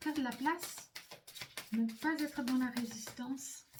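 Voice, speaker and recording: Her pitch varies an ordinary amount as the woman speaks at a very slow pace. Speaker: psychic medium doing card readings. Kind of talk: spiritual card reading to camera. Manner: hesitant, many fillers and repetitions.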